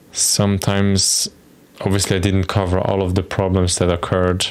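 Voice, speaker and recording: With noticeable background noise behind him, a man speaks in a very deep, low voice with a non-native accent. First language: not English. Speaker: software developer streamer. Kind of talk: live coding stream with chat. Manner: casual, hesitant.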